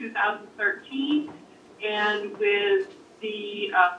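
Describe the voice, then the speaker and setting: A woman is heard with light background noise and audible room echo. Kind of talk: self-introduction at a meeting. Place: meeting room.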